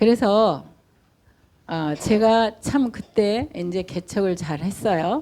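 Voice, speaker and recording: Speaking at a very slow pace, a woman uses lively intonation in a dark, mellow tone. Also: medium pitch for a woman. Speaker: pastor. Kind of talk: sermon. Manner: pauses for interpreter.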